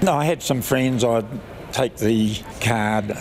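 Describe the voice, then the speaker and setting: A man talks over noticeable background noise. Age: 90s. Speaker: elderly petitioner. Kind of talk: interview answer.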